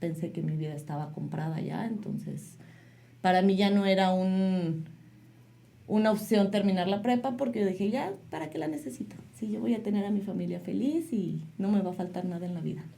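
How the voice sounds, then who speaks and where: A woman speaks at a moderate pace in a somewhat breathy, dark, mellow voice of medium pitch, with lively intonation and audible room echo. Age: 30s. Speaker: mother sharing life story. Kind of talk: interview testimony.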